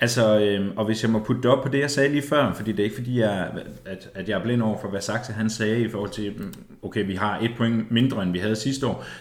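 Audible room echo surrounds a man speaking at medium pitch. He moves at a fairly quick pace with fairly even intonation. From East Jutland, Denmark. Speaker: football podcast co-host. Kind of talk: casual chat.

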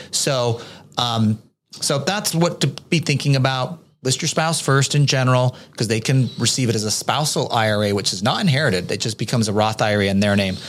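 A man with a normal speaking voice, medium pitch, lively intonation and a fairly quick pace. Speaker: podcast co-host, tax adviser. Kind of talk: casual Q&A podcast.

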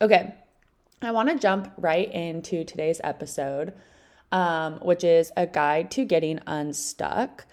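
Fairly low for a woman, her voice is a normal speaking voice with lively intonation. She speaks at a fairly slow pace on a very clean recording with a silent background. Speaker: podcast host. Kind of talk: casual solo podcast monologue. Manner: chatty, upbeat.

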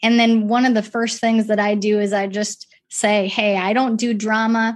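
A fairly high-pitched woman at a moderate pace against a quiet background. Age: 40s. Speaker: nonprofit ministry leader. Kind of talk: interview.

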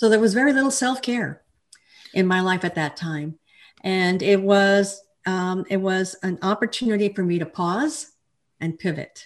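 A woman with an American accent talks in a normal speaking voice at medium pitch and moderate pace, with ordinary pitch variation. The recording is very clean, with a silent background. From Texas, El Paso. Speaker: life coach and author. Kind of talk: interview.

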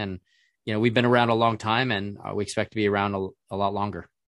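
Speaking at a fairly quick pace against a quiet background, a man with an ordinary speaking voice has fairly low pitch and fairly even intonation, the sound dry and close with no echo. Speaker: company chief financial officer. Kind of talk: interview.

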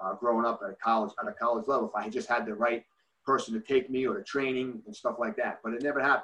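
Very fast and lively in intonation, a man speaks with a New Jersey accent. His medium-pitched voice has a bright, sharp tone. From New Jersey, Bergen County. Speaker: youth hockey coach. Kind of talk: casual interview. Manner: halting.

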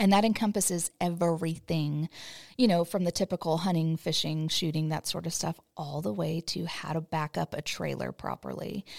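An ordinary speaking voice with an American accent, at a moderate pace with ordinary pitch variation, in a dry, close, very clean recording with no echo and a silent background. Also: woman, fairly low pitch for a woman. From US West Coast. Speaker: podcast host. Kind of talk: casual chat.

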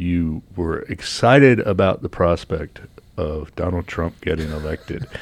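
A man's very deep, low voice at a fairly slow pace with ordinary pitch variation. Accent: American. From Virginia, US. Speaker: radio host and editor. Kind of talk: casual radio interview. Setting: studio.

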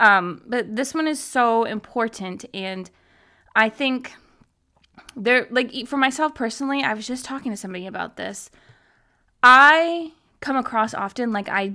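A woman's fairly high, bright and sharp voice, animated in tone with lively intonation, at a moderate pace. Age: 30s. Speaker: podcast host. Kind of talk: casual solo talk. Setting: video call recording.

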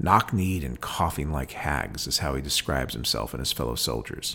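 A man talks at a fairly quick pace with vocal fry in his voice. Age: 40s. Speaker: podcast host reading and discussing poetry. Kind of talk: poetry reading and commentary.

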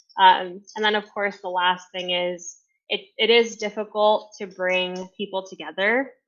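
This is an ordinary speaking voice with an American accent. The pace is fairly slow and the intonation fairly even. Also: woman, medium pitch for a woman. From New York City. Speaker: marketing agency CEO. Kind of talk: interview.

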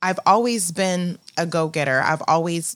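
A woman speaks with an American accent in an ordinary speaking voice. Her pitch is fairly low, with ordinary variation. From Phoenix, Arizona, US. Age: 40s. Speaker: salon owner, entrepreneur. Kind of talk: interview testimony.

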